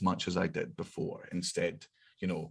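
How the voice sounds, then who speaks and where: A man speaks with a Scottish accent. His pace is moderate. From Scotland. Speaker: comedian. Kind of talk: casual chat.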